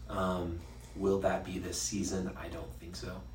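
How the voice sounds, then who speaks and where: With a Western US accent, a man speaks in a very deep, low voice, with noticeable background noise and audible room echo. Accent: American, western US. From Utah. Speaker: sports podcast co-host. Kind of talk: casual chat.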